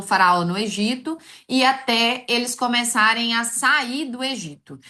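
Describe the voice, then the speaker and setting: A woman speaks in a bright, sharp tone. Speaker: online course teacher. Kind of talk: live online class.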